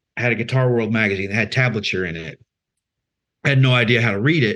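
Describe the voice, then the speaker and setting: A man with a Texan accent at a medium pitch, with a bright, sharp tone, ordinary pitch variation, a very fast pace and long, frequent pauses, on a very clean recording with a silent background. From Central Texas. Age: 30s. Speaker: singer-songwriter. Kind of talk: interview. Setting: live stream.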